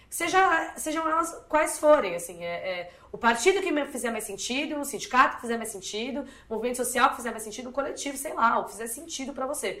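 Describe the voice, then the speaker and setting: A woman with a high, bright, sharp voice speaks at a very fast pace, with very wide pitch swings and big swings in loudness, amid audible room echo. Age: 20s. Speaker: activist and communicator. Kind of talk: interview.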